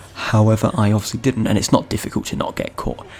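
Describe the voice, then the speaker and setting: Man at a medium pitch, fairly quick pace, noticeable background noise. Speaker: gaming youtuber. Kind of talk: unscripted video game review. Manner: halting, self-correcting; casual rambling.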